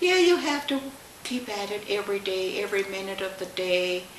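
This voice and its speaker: A woman speaks at a medium pitch with ordinary pitch variation and a fairly slow pace. Noticeable background noise runs underneath. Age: 80s+. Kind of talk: interview answer.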